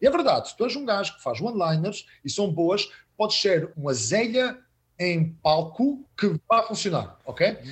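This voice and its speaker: A man with lively intonation. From Azores (São Miguel), Portugal. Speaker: stand-up comedian. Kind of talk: casual chat. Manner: animated.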